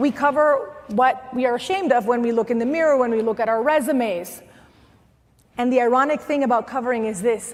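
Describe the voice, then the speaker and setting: A woman with a slight Spanish accent, high pitch and an animated tone, with ordinary pitch variation at a moderate pace. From Venezuela. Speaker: motivational speaker and former news anchor. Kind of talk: motivational talk.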